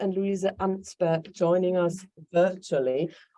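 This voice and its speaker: With a German accent, a woman speaks at a moderate pace in fairly even intonation. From Germany, Hanover, Kurdish Yazidi family. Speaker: human rights activist, organization founder. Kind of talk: welcome speech. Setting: stage with audience.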